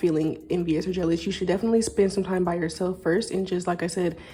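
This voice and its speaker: Dark and mellow in tone, a woman's voice sounds somewhat breathy. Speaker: tarot reader. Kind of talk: intuitive card reading to camera. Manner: fast; slurred words.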